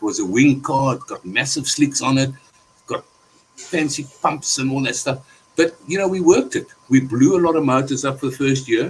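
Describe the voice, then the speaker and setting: There is noticeable background noise. A man speaks with a fairly high pitch. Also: ordinary pitch variation, moderate pace. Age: 60s. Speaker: racing car builder. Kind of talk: casual chat. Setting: live stream.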